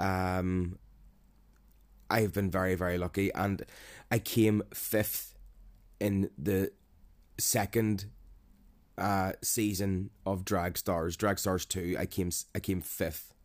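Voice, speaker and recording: Over a very clean recording with a silent background, a man with a Northern Irish accent speaks at a very deep, low pitch, very slowly, in a monotone, flat intonation with long, frequent pauses. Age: 30s. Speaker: podcaster on mental health. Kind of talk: personal monologue. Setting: home recording. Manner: hesitant, many fillers.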